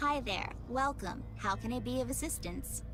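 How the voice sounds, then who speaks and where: Over loud background noise, someone uses a put-on character voice at a moderate pace. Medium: video game. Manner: polite, unhurried.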